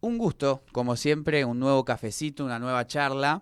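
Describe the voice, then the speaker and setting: On a very clean recording with a silent background, a man speaks in an Argentine accent. His pitch is fairly high and his pace fairly slow. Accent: Rioplatense Argentine Spanish. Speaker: radio interviewer. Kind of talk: interview.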